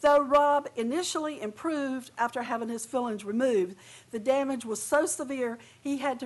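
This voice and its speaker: At a moderate pace, a woman speaks in a high-pitched voice. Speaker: public commenter at hearing. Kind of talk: prepared public testimony. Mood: earnest, indignant. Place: hall. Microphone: podium.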